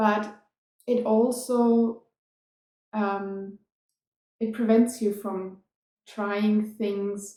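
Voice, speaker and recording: A woman with a non-native accent speaks at a very slow pace, leaving long, frequent pauses. Her fairly high voice has a dark, mellow tone and monotone, flat intonation. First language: non-English (European language). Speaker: dance teacher and performer. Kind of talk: casual vlog storytelling.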